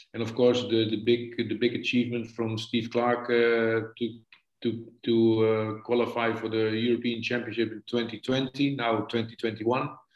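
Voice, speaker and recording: With a Dutch accent, a man speaks at a medium pitch and a fairly slow pace, his intonation monotone and flat. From Netherlands. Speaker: football coach. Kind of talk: casual interview. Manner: halting, hesitant.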